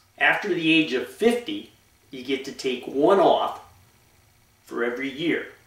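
Lively intonation at a moderate pace, with an American accent and noticeable background noise. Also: man. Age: 60s. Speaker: limestone quarry owner; bodybuilder. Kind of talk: casual talk to camera.

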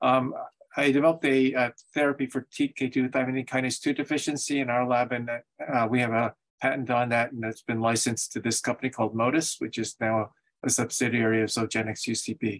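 A man talks at a fairly quick pace, his intonation monotone and flat. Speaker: invited lecturer. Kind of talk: lecture. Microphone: video call.

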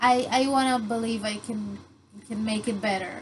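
With fairly even intonation and a fairly slow pace, a woman talks against noticeable background noise. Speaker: vlogger. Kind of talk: casual vlog chat. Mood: a bit unsure, laughs. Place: home room.

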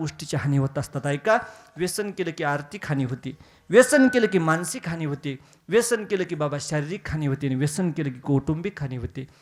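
Animated in tone, a man speaks at a fairly high pitch with lively intonation. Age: 20s. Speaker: kirtan preacher. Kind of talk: devotional sermon (kirtan).

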